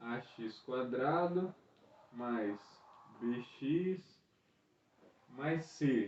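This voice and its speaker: Soft-spoken and dark, mellow in tone, the voice shows ordinary pitch variation. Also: man. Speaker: school math teacher. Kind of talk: lesson video for students. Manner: casual.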